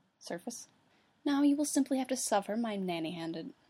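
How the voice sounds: The natural reading voice moves with lively intonation.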